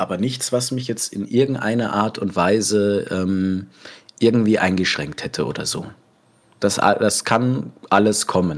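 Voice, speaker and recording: At a fairly slow pace, a man talks in a fairly low voice with ordinary pitch variation. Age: 20s. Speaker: cook and role-play gamer. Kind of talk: casual interview. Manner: hesitant, many fillers.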